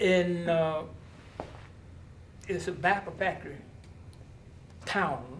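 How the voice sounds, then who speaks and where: A man's high-pitched voice at a fairly slow pace, with long, frequent pauses, fairly even intonation and audible room echo. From US South (North Carolina, Durham). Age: 80s+. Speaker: blues musician. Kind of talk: interview. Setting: outdoors on location.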